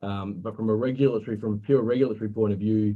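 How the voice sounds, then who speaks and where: A man's fairly low, dark, mellow voice with an Australian accent. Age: 40s. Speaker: superannuation compliance presenter. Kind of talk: webinar presentation. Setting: online webinar. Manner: halting, many fillers.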